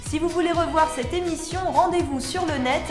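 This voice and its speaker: A woman talks at a moderate pace as music plays in the background. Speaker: TV journalist and presenter. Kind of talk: TV magazine show presenting.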